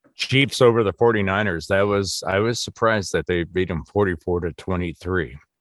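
A man speaks at a moderate pace with an Upper Midwest accent, fairly low in pitch with ordinary pitch variation and hardly any pauses. The sound is dry and close with no echo, over a quiet background. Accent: Upper Midwest American. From Wisconsin. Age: 50s. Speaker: sports podcast co-host. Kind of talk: casual chat.

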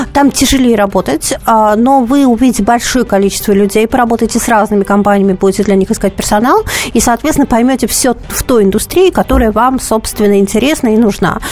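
A woman at a very fast pace, fairly high in pitch, with ordinary pitch variation and very even loudness, over noticeable background noise. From Russia, Vologda. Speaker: recruitment expert. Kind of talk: radio advice show, answering callers. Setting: radio studio. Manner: conversational, lively.

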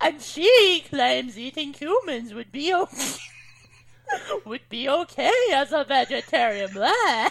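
High in pitch and fairly slow, the speaker performs a put-on character voice. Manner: playful, mocking.

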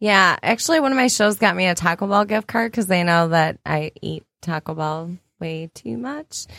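A woman's normal speaking voice, fairly low in pitch, with lively intonation at a moderate pace and a dry, close sound with no echo. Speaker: author. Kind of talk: casual chat.

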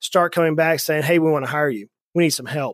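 A man speaks at a fairly high pitch with a Southern US accent. The very clean recording has a silent background and a dry, close sound with no echo. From US South, South Georgia. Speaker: financial advisor, firm founder. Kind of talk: interview conversation.

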